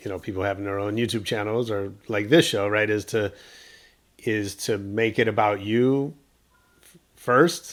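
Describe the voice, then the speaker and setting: The speaker is a man with a fairly low pitch. His pitch variation is ordinary. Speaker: podcast host. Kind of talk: casual interview conversation.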